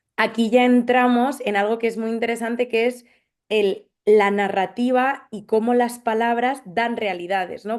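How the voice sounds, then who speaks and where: With a Madrid accent, the speaker goes at a moderate pace with fairly even intonation against a quiet background. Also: woman. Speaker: social anthropologist. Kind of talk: panel discussion. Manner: hesitant, with fillers.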